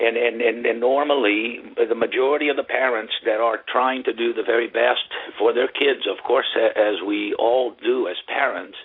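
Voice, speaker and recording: Noticeable background noise runs under this recording. A man talks at a moderate pace. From Brazil, São Paulo. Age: 60s. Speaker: tennis coach. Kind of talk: interview. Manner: halting, many fillers.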